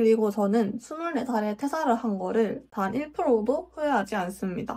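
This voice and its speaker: A woman's normal speaking voice, fairly high in pitch, with lively intonation and a moderate pace. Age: 20s. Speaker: vlogger, former office worker. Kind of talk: casual talk to camera.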